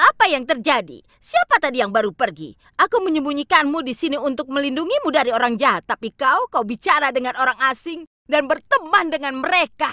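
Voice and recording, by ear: A woman does a put-on character voice at a fairly quick pace, high in pitch with big pitch swings and a bright, sharp tone, in a dry, close sound with no echo.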